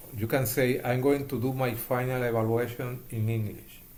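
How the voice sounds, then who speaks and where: A man with a strong Puerto Rican accent speaks at a medium pitch in a monotone, flat intonation. Room echo is audible. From Puerto Rico. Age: 70s. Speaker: hospital chaplain educator. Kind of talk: interview. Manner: halting.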